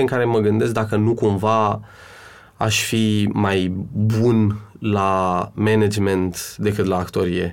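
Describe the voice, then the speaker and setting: A man at a medium pitch, in a very clean recording with a silent background. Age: 30s. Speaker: actor and cultural manager. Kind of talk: interview. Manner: hesitant.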